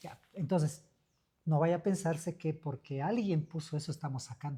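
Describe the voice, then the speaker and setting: A fairly quick delivery comes through on a very clean recording, the background silent. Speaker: local official. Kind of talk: radio talk show interview.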